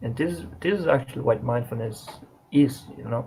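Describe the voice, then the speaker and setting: Speaking with a non-native accent, a man has a dark, mellow, somewhat breathy tone. His pace is moderate and his intonation lively. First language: not English. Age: 20s. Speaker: vlogger. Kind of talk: casual monologue to camera. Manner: halting, with restarts and fillers.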